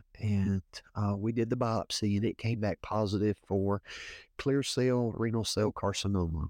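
Against a quiet background with a dry, close sound and no echo, a man with a Louisiana accent speaks at a fairly slow pace and fairly low pitch with fairly even intonation. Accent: US Southern (Louisiana). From Northeast Louisiana. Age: 40s. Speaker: assistant pastor and nurse practitioner. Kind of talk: interview testimony. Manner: halting, frequent fillers.

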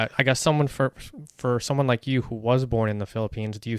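A man talks in a normal speaking voice with an American accent and fairly even intonation. The recording is very clean, with a silent background and a dry, close sound with no echo. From United States. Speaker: podcast co-host. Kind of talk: casual chat.

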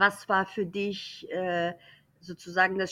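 A woman with a non-native accent at a very slow pace and a medium pitch. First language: not German (speaking German). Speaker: German teacher. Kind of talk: casual chat.

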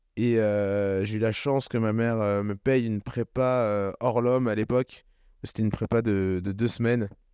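In a dry, close sound with no echo and a quiet background, a man speaks fairly slowly in an unremarkable speaking voice at medium pitch. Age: 20s. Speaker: agency founder and CEO. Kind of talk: interview. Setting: living room.

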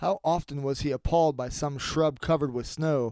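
In a very clean recording with a silent background, a man with an unremarkable speaking voice and fairly high pitch speaks at a moderate pace with ordinary pitch variation. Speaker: podcast host and audiobook narrator. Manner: casual and apologetic in intro and outro.

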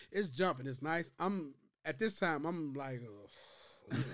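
A man with an American accent speaks at a fairly slow pace, his pitch varying in an ordinary way. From US Midwest, Chicago. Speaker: podcast co-host. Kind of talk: casual chat.

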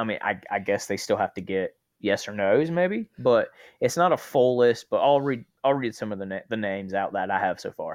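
In an American accent, with lively intonation, comes an unremarkable speaking voice over a quiet background. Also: man, medium pitch for a man. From North Carolina. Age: 20s. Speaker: sports podcast co-host. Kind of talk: casual chat.

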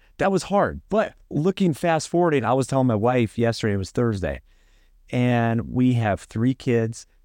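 Against a quiet background, a man with an American accent speaks at a moderate pace. His pitch swings very widely. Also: dry, close sound with no echo. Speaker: podcast host. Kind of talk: casual chat.

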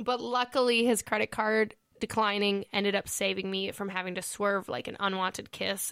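A woman speaks at a moderate pace with a medium pitch and ordinary pitch variation. The recording is very clean, with a silent background and a dry, close sound free of echo. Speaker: podcast host. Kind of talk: casual chat.

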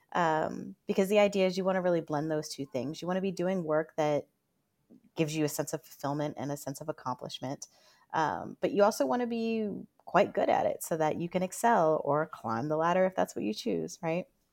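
In a very clean recording with a silent background and a dry, close sound with no echo, a woman with an American accent speaks at a fairly quick pace at a fairly low pitch in a plain, everyday voice. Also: lively intonation. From Northern Virginia, US. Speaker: career coach. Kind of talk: interview.

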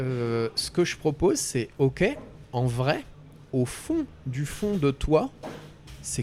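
Music plays in the background as a man speaks. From France, Ardennes. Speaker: coach. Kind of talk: interview conversation.

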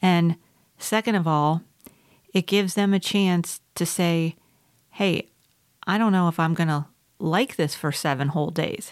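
A woman with a fairly low pitch talks at a fairly slow pace, leaving long, frequent pauses. Her loudness stays very even and her pitch varies in an ordinary way, in a very clean recording with a silent background. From South Carolina. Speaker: podcast co-host. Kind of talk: casual chat.

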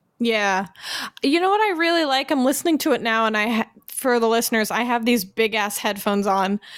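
An ordinary speaking voice moves at a fairly quick pace, with very even loudness and lively intonation. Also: woman, fairly high pitch for a woman. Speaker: podcast co-host. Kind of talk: casual banter chat.

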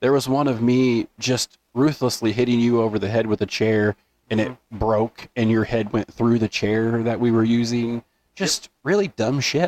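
A normal speaking voice, this man talks at a moderate pace and medium pitch with fairly even intonation and very even loudness, the sound dry and close with no echo. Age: 30s. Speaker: podcast co-host. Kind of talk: casual chat.

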